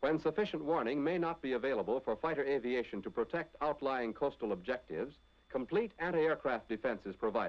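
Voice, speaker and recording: This man talks at a very fast pace with lively intonation. His pitch sits fairly high. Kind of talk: 1940s wartime training film narration. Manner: formal, authoritative, brisk; measured, declarative, newsreel-style delivery.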